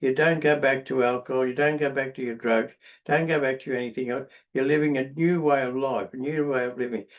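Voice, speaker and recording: Against a quiet background, a man with an Australian accent speaks at a fairly high pitch. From Australia, Queensland–New South Wales border. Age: 80s+. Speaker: recovering alcoholic speaker. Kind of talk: testimony. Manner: halting, many repetitions and fillers.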